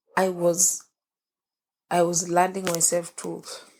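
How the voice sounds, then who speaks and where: Her voice is fairly low for a woman and shaky. The woman speaks very slowly with monotone, flat intonation. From Kenya. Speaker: young mother. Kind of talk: podcast interview, personal life story. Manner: emotional, quivering.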